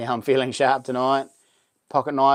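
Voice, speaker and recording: A man with a New Zealand accent. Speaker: YouTuber and knife maker. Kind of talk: live stream chat. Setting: live stream. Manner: halting.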